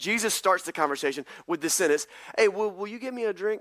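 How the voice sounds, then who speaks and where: In a Southern US accent, a man speaks with a high pitch and a raised, projected voice at a very fast pace. His bright, sharp tone is animated, on a very clean recording with a silent background. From US South, North Carolina. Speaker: pastor. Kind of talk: sermon.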